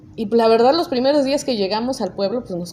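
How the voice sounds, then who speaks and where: Pitch moves in an ordinary way throughout. Background music can be heard. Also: woman. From Mexico, Chicontepec, Veracruz (Huasteca). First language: Nahuatl (speaking Spanish). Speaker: judge. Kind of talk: interview.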